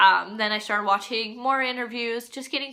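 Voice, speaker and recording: Bright and sharp in tone, a woman speaks with fairly even intonation. She has a Midwestern American accent. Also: very clean recording, silent background. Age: 20s. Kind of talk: casual talk to camera.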